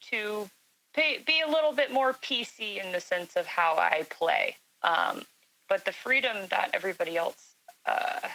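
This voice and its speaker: A woman talks in a raised, projected voice. Her pitch is high and swings very widely. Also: moderate pace. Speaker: gaming alliance admiral. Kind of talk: casual panel chat. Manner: loud.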